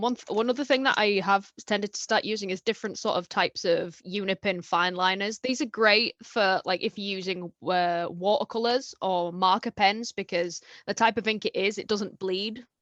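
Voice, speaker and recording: A woman speaks in an unremarkable speaking voice at medium pitch, with ordinary pitch variation and a moderate pace. She hardly pauses, and the sound is dry and close with no echo over a quiet background. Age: 20s. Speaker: illustrator. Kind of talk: interview.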